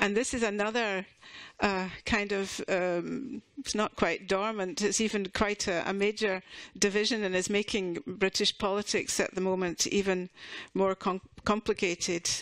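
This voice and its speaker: A woman with a Scottish accent speaks at a medium pitch with fairly even intonation. The recording is very clean, with a silent background. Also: moderate pace. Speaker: university association representative. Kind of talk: conference presentation. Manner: halting, many fillers and restarts.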